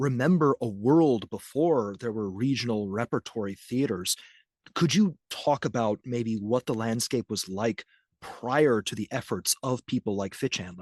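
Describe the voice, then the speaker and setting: Speaking at a moderate pace and medium pitch with ordinary pitch variation, a man has an American accent and a normal speaking voice, captured dry and close with no echo over a quiet background. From Milwaukee, US Midwest. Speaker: podcast host. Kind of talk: interview conversation.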